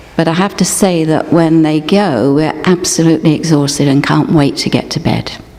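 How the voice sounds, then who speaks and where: At a moderate pace, a woman speaks with a very deep, low pitch and fairly even intonation, against noticeable background noise. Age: 60s. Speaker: guest speaker at a church service. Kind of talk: scripted dramatic reading.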